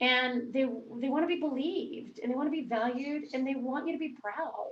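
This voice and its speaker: With an American accent, a woman speaks at a fairly quick pace in a high pitch with ordinary pitch variation, and room echo is audible. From South Louisiana, US. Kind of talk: panel discussion.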